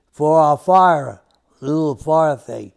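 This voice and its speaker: At a very slow pace, a man with a New York accent speaks in a fairly high voice. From New York City. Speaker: interviewee recalling childhood. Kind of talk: family oral history interview. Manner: halting, with restarts.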